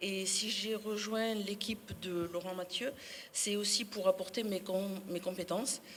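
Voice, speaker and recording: Under noticeable background noise, a woman with a medium pitch speaks at a fairly slow pace in a monotone, flat way. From Sarlat, Dordogne, France. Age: 60s. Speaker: municipal election candidate. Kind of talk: public speech.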